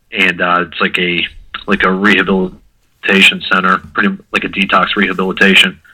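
A man with an American accent talks in a fairly low, flat monotone, his tone bright and sharp. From US Midwest (Mentor, Ohio). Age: 20s. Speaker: person in addiction recovery. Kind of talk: casual interview about recovery.

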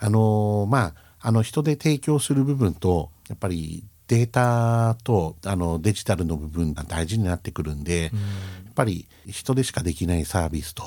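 Music plays in the background as a man speaks at a moderate pace. His fairly low voice has lively intonation. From Japan, Sendai (Miyagi). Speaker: company president. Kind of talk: radio interview.

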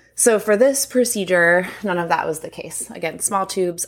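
a plain, everyday voice, moderately paced, with ordinary pitch variation. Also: woman. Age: 30s. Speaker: podcast co-host. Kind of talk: casual chat.

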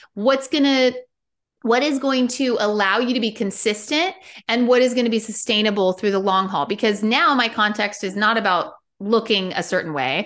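Against a quiet background, a woman with a plain, everyday voice speaks at a moderate pace, her fairly high pitch showing ordinary pitch variation. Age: 40s. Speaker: wellness coach. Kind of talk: casual interview chat.

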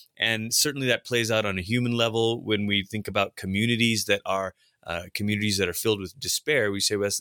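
Speaking with a Pacific Northwest accent at a fairly quick pace, a man has a fairly low pitch, a bright, sharp tone and fairly even intonation in a very clean recording with a silent background. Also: dry, close sound with no echo. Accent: American, Pacific Northwest. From Malaysia, then Portland, Oregon from age ten. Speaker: pastor and author. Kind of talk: interview about his book. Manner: halting, many repeated words.

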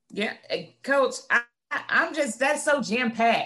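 The tone is animated, in a Southern US accent. The pace is moderate. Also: woman. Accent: Southern US, country. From north Florida, Gadsden County. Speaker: podcast host and coach. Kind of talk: casual interview chat. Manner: animated, high energy.

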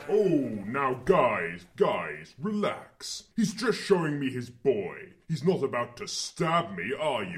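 A man puts on a character voice at a fairly high pitch with very wide pitch swings. The pace is fairly slow, with hardly any pauses. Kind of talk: comic deadpan. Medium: audio drama. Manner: casual slangy, says dog.

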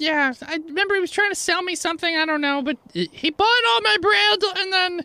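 A put-on character voice at an extremely high pitch speaks at a moderate pace. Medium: actual play. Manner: flustered, exasperated.

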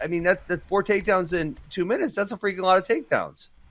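A man talks at a very fast pace. His pitch is high, with ordinary pitch variation. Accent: American. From Wisconsin. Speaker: wrestling coach and pundit. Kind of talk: casual chat.

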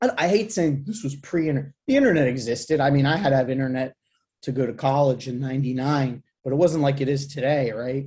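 A man speaks at a fairly quick pace in a fairly high pitch, his somewhat breathy voice carrying a dark, mellow tone. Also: ordinary pitch variation. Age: 40s. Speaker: hardcore band singer. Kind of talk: casual chat.

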